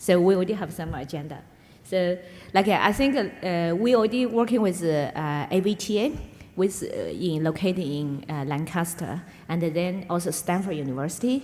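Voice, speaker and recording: With a Chinese accent, a woman speaks at a moderate pace in a fairly low pitch with lively intonation, and audible room echo surrounds her voice. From China, Yunnan. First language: Mandarin Chinese. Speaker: business executive. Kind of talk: onstage interview. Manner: halting, many fillers.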